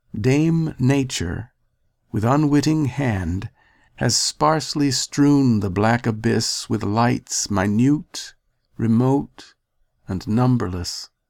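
In a very clean recording with a silent background, a man talks very slowly in a medium pitch with ordinary pitch variation. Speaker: poetry reader. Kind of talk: poem reading, solemn and stately, like an audiobook performance. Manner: slow, measured, graceful and wistful.

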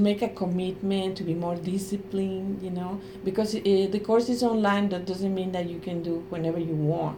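In a Spanish accent, a woman speaks at a medium pitch and moderate pace over noticeable background noise. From Mexico. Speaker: Spanish professor. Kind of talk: interview. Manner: halting.

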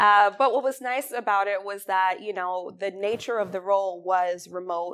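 A woman with an American accent speaks in an ordinary speaking voice at a moderate pace, with fairly even intonation and hardly any pauses. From New York, Mount Vernon. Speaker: restaurant critic. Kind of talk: author talk.

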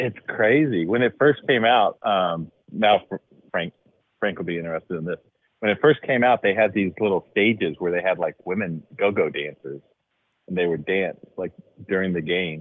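Moderate pace in an American accent, with ordinary pitch variation. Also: man, very deep, low pitch for a man. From Dallas, Texas. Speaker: caller. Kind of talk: casual chat.

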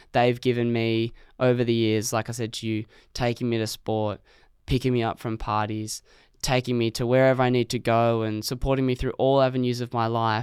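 Fairly quick and with fairly even intonation, a man speaks at medium pitch in an Australian accent on a very clean recording with a silent background. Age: 20s. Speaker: podcast guest. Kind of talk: casual chat. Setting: studio.

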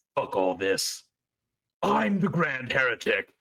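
Growling and raspy, a man does a put-on character voice at medium pitch, moving at a fairly slow pace. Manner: growling, aggressive.

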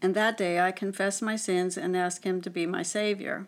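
Here is a woman with an unremarkable speaking voice and an American accent. Her pitch is medium, her intonation fairly even, and her pace moderate. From western Pennsylvania. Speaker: church marriage mentor. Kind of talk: testimony.

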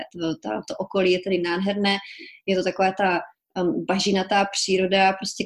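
An unremarkable speaking voice moves at a moderate pace with fairly even intonation, captured in a very clean recording with a silent background. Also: woman. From Czech Republic, small village Kobeřice (Silesia). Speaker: journalist and author. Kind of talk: casual interview.

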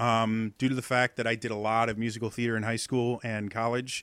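On a very clean, dry and close recording with no echo and a silent background, a man with a medium pitch and a bright, sharp tone speaks with a Midwestern American accent in a monotone, flat intonation. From US Midwest. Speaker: accent coach and streamer. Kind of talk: casual interview.

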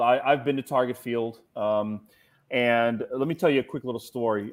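A man with an American accent, medium pitch and fairly even intonation. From Cincinnati, Ohio. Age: 40s. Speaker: cigar industry representative. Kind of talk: casual chat.

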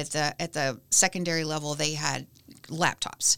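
A woman's voice with vocal fry on a very clean recording against a silent background. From Kentucky, small town (Lebanon). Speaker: nonprofit executive director. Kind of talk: casual interview. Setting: studio.

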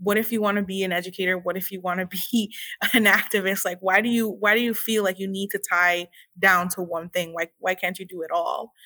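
A woman's medium-pitched voice, bright and sharp in tone, flat and monotone, on a very clean recording with a silent background. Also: fairly quick pace. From Puerto Rico. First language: Spanish. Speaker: historian, activist and educator. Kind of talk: interview.

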